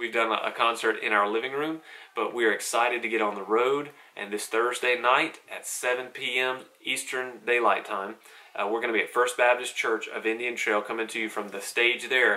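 At a moderate pace, the delivery keeps a fairly even intonation. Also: man. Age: 30s. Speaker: gospel singer and devotional vlogger. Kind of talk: devotional talk; concert announcement. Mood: calm, encouraging. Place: home room.

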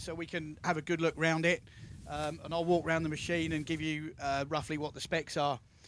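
There is light background noise, and the sound is dry with no echo. A man speaks at a fairly quick pace. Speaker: machinery demonstrator. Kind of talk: product demonstration talk to crowd. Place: open country. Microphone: handheld.

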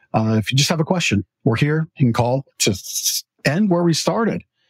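Recorded dry and close with no echo, a somewhat breathy man talks at a fairly quick pace with ordinary pitch variation. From Canada. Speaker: talk show host and mattress store owner. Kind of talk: casual chat. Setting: store.

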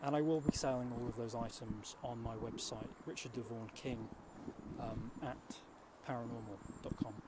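Loud background noise accompanies a man talking at a moderate pace. The sound is dry, with no echo. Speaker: presenter. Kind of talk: mock documentary address to camera. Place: open country. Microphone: handheld.

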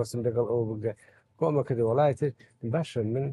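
At a fairly slow pace, the voice has a dark, mellow tone, somewhat breathy, with ordinary pitch variation. The sound is dry with no echo, and the background is quiet. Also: man. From Iraqi Kurdistan, Sulaymaniyah; Iraqi Kurdistan. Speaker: baker and photo archive collector; interviewee. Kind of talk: interview.

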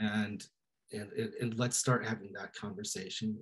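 Fairly low, somewhat breathy male voice against a quiet background. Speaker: reporter. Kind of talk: panel discussion. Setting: video call. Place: home room. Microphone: video call.

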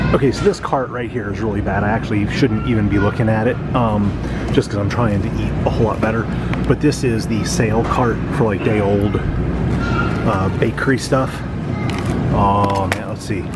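Music plays in the background as a man speaks at a moderate pace in a dry sound with no echo. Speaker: vlogger shopping. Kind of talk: casual vlog chat. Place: shop.

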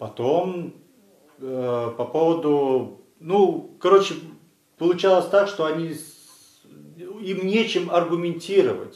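In a Russian accent, a man with a high pitch and ordinary pitch variation speaks with big swings in loudness and audible room echo. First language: Russian (speaking Latvian). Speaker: legal defender. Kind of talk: video statement. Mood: critical, indignant. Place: studio.

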